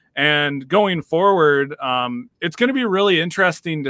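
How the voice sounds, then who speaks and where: An ordinary speaking voice from a man, fairly high in pitch, with ordinary pitch variation at a moderate pace. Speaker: podcast co-host. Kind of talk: casual interview chat.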